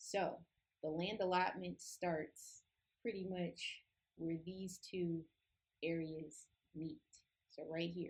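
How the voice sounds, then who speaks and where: A woman's fairly low, somewhat breathy voice, monotone and flat, very slow, with long, frequent pauses. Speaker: Bible study teacher. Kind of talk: tutorial. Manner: casual.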